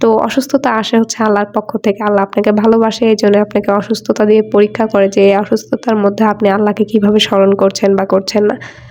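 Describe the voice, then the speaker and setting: Against noticeable background noise, a woman speaks at a medium pitch with monotone, flat intonation and very even loudness. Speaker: lifestyle vlogger. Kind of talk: vlog voice-over.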